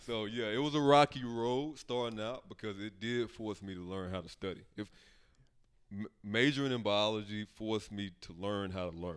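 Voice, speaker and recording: In an American accent, a man with an unremarkable speaking voice talks at a moderate pace, fairly low in pitch with ordinary pitch variation. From US South (Memphis, Tennessee). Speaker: software developer. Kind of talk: interview. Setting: living room.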